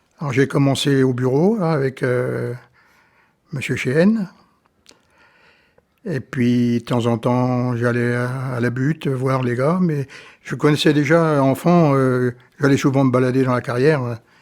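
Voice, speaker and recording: A man speaks at a very slow pace with long, frequent pauses. His medium pitch follows fairly even intonation. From France, Brittany (Fougères). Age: 70s. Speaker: retired quarry worker. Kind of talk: oral history interview. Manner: halting, many hesitations.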